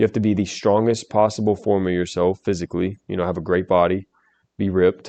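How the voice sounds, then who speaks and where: A man with a very deep, low pitch and a dark, mellow tone, fairly quick and monotone, with flat intonation, in a dry, close sound with no echo. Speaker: YouTube commentator. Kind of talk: reaction commentary. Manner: halting.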